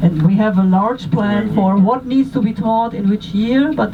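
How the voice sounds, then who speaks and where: The speaker has a German accent. Noticeable background noise runs under the voice. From Germany. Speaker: tour guide. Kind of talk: guided tour talk. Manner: halting.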